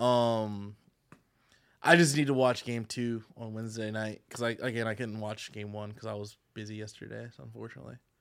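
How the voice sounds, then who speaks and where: A plain, everyday voice from a man, fairly low in pitch and fairly quick in pace, with ordinary pitch variation and big swings in loudness. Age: 30s. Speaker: podcast guest. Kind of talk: casual chat.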